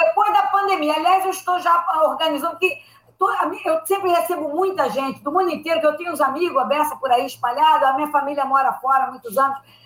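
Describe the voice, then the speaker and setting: An extremely high-pitched woman speaks at a fairly quick pace with ordinary pitch variation. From Rio de Janeiro, Brazil. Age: old. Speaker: comedy writer. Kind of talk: casual chat.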